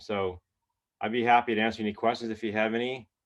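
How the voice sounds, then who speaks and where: Against a quiet background, a man talks at a very fast pace with a fairly low pitch. His intonation is monotone and flat. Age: 60s. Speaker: health product distributor. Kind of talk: testimony.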